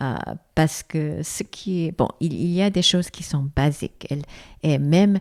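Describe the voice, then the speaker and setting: A woman's very deep, low pitch with ordinary pitch variation at a fairly slow pace, in a dry, close sound with no echo and a very clean recording with a silent background. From South Korea. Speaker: foundation president, former executive. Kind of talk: interview. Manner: halting.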